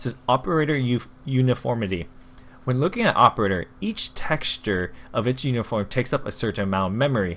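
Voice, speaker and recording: This man talks at a fairly quick pace. His pitch is medium, with ordinary pitch variation. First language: not English. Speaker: gaming YouTuber. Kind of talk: casual commentary.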